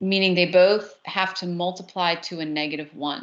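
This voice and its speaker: A woman's fairly low voice with a New Jersey accent and ordinary pitch variation. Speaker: math teacher. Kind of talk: lecture.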